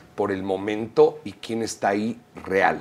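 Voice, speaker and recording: An unremarkable speaking voice with fairly even intonation. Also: man. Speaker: musician and producer. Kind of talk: casual chat.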